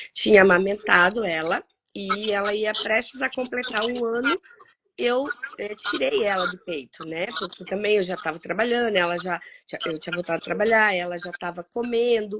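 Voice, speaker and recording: With a normal speaking voice, a woman talks at a moderate pace in a medium pitch with ordinary pitch variation. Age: 40s. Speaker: cancer survivor, social worker, author. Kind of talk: interview, personal testimony.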